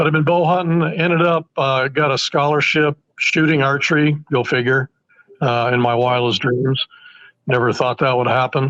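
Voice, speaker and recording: A man's normal speaking voice, medium in pitch, with fairly even intonation, a moderate pace, and a dry, close sound with no echo. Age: 60s. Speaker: broadhead engineer and bowhunter. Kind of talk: casual interview chat.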